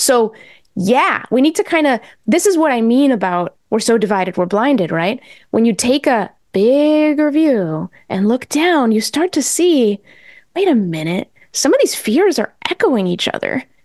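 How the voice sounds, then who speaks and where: A woman with an American accent speaks at a fairly slow pace, high in pitch with very wide pitch swings. Her loudness stays very even, and the sound is dry and close with no echo. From New England, US (born in Mexico). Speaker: journalist and podcast host. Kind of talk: interview.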